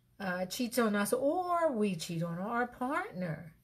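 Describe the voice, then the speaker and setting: Somewhat breathy, a woman talks at a very slow pace against a quiet background. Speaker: relationship advice host. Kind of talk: casual talk to camera. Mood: reflective, mildly playful. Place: home room. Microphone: webcam.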